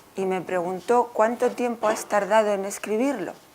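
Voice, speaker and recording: A woman talks at a very slow pace. Her pitch is fairly high and varies an ordinary amount. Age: 60s. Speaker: author. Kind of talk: book presentation talk.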